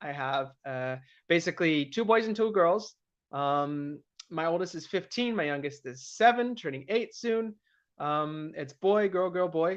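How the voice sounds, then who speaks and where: Speaking in an American accent, a man has a high pitch and lively intonation. His pace is fairly slow, and the background is quiet. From US Pacific Northwest, Seattle area. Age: 30s. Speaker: political candidate. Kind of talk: live stream monologue. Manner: casual, hesitant with many fillers.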